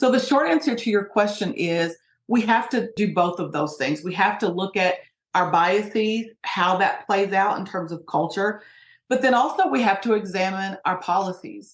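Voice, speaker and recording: A woman with an American accent and a plain, everyday voice talks at a medium pitch and moderate pace with lively intonation against a quiet background. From US, Appalachian Kentucky (Hazard). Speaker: sociologist and diversity trainer. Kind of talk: interview.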